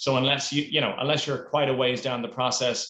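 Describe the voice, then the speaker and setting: In an Irish accent, the speaker talks at a very fast pace with a bright, sharp tone. The intonation is monotone and flat, and room echo is audible. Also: man. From Ireland. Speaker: four-day week advocacy program manager. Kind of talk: interview.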